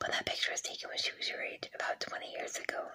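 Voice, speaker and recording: Whispering from a woman over noticeable background noise. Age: 30s. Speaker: ASMR creator. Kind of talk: scary story reading. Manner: whispered.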